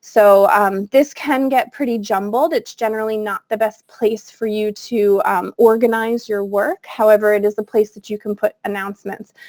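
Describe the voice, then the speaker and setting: In an unremarkable speaking voice, a woman talks at a moderate pace and fairly high pitch with hardly any pauses, her loudness swinging widely in a dry, close sound with no echo. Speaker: technology coach and former teacher. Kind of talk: webinar tutorial. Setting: video call.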